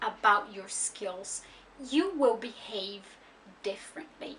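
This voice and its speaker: Noticeable background noise sits behind a woman with a Brazilian accent. She speaks at a very slow pace with lively intonation. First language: Brazilian Portuguese. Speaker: language learning vlogger. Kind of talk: explanatory vlog monologue.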